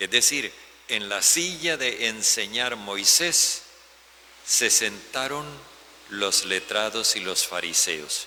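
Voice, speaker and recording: Lively intonation marks this man's medium-pitched voice at a very slow pace, with long, frequent pauses. Noticeable background noise runs underneath. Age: 70s. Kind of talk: homily.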